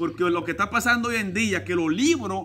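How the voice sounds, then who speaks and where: Bright and sharp in tone, a man with a Dominican accent speaks in an animated, raised, projected voice. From Dominican Republic, San Juan; Dominican Republic. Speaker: evangelical preacher. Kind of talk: preaching vlog. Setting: outdoors, in a swimming pool. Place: garden.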